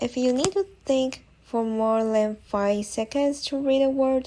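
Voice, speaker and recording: A woman with a Chinese accent speaks at a fairly slow pace in a dark, mellow tone, her pitch varying in an ordinary way. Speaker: language learning vlogger. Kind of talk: tutorial.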